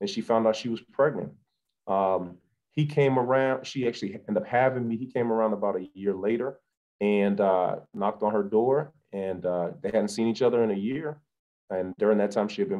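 A man speaks at a moderate pace, his pitch varying in an ordinary way, with a quiet background behind him. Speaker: guest. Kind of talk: interview answer. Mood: earnest, reflective. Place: home room. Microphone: video call.

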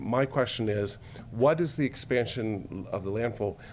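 This man talks at a moderate pace in a medium pitch. His pitch rises and falls in an ordinary way. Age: 60s. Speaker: public commenter. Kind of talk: public comment at hearing. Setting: podium at public meeting. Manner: halting, many filler words.

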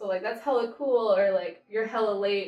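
A woman with an American accent speaks in a fairly even intonation, with audible room echo and faint music in the background. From United States. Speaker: slang explainer. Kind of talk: casual conversation on camera. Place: home room. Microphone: camera far.

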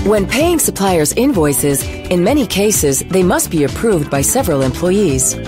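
Over clear background music, a woman talks at a moderate pace in a dry sound with no echo. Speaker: voice actor. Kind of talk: corporate narration. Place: studio. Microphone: studio mic.

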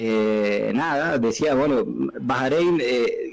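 Pitch varies in an ordinary way across an ordinary speaking voice. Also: man. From Argentina. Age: 30s. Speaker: professional footballer; interview guest. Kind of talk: interview. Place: studio. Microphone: studio mic.

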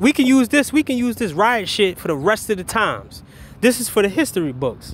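A man with an animated tone and a high pitch, his voice making very wide pitch swings at a fairly quick pace. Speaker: commentary vlogger. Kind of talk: casual rant. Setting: outdoors. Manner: halting.

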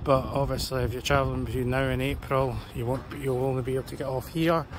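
Against light background noise, a man speaks with fairly even intonation in a dry sound with no echo. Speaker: travel vlogger. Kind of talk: casual tutorial vlog chat. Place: street. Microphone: phone near.

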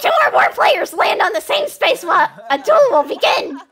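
An extremely high, put-on character voice swings very widely in pitch at a moderate pace. Clear background noise runs underneath.

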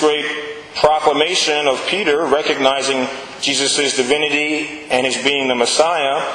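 A man with an American accent at a fairly slow pace, fairly even intonation, over noticeable background noise. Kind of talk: sermon.

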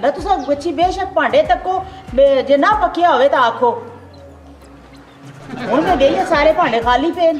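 An extremely high-pitched woman's voice in a Mirpuri accent, with lively intonation, over clear music in the background. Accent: Pothwari-Mirpuri Punjabi. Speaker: actress. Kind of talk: comedy drama dialogue.

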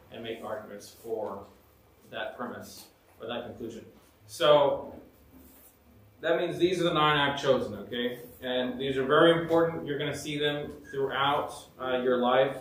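There is light background noise and an audible room echo as a man speaks at a moderate pace with ordinary pitch variation. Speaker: teacher. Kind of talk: lecture. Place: classroom. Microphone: camera far.

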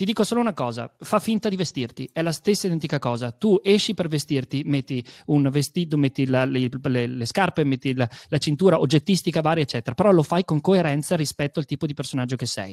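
At a very fast pace, a man speaks with lively intonation and a fairly high pitch. The background is quiet. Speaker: storyteller and creative studio director; guest. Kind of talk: online talk on storytelling; interview answer. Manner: animated, restless. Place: home room. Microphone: studio mic.

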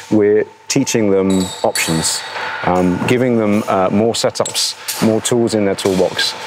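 A fairly low-pitched man at a moderate pace, with noticeable background noise. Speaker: course instructor. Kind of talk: interview answer. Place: factory.

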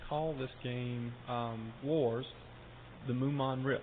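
This man has a plain, everyday voice at medium pitch, with fairly even intonation. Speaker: game studio executive. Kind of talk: interview.

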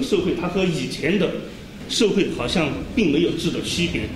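A high-pitched man's voice with audible room echo and light background noise. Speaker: event moderator. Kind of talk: formal introduction and summary. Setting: stage with audience. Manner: halting. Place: classroom. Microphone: lapel.

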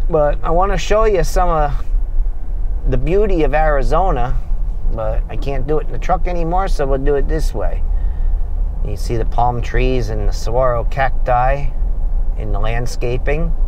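A man speaks at a moderate pace with long, frequent pauses, the sound dry with no echo and light noise behind him. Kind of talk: casual vlog chat. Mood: relaxed, conversational. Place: car.

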